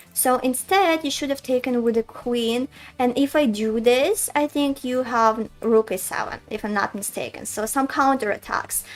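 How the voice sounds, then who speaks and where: A woman's high-pitched voice with a Russian accent, ordinary pitch variation, a moderate pace and hardly any pauses, music in the background. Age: 20s. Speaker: chess streamer and coach. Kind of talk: live game commentary stream. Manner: casual, thinking aloud.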